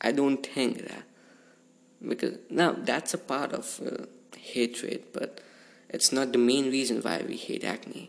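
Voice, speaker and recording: Using vocal fry at a medium pitch, a man speaks at a fairly slow pace with ordinary pitch variation and long, frequent pauses. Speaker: podcast host. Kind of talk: casual monologue.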